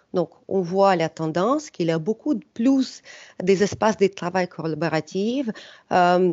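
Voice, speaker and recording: A woman with a slight non-native accent, medium in pitch, lively in intonation and fairly slow in pace. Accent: slight foreign. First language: not French (speaking French). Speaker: startup executive. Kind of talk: webinar presentation. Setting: online webinar. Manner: hesitant, many filler sounds.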